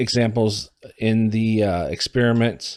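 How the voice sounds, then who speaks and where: A man with a Midwestern American accent at a medium pitch and a very slow pace, monotone and flat in intonation, on a very clean recording with a silent background. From US Midwest (Iowa, Illinois). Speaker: student. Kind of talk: class presentation. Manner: halting.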